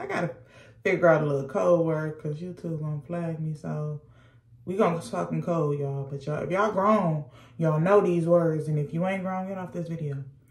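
This woman talks at a fairly quick pace with a fairly low pitch. Her voice is somewhat breathy, with ordinary pitch variation. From US, moved to Georgia. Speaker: YouTuber. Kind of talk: casual storytime vlog. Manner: animated.

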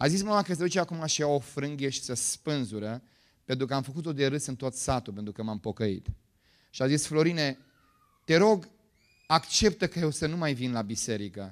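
A man with a fairly high pitch talks in an animated tone with lively intonation at a moderate pace, over a quiet background. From Romania, Bucharest. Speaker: pastor. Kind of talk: sermon. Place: church. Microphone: handheld.

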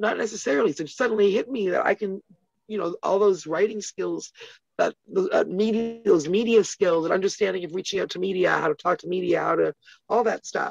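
Fairly quick female speech with ordinary pitch variation, a dry sound with no echo and a quiet background. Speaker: interview guest. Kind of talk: interview answer. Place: home room. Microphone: phone near.

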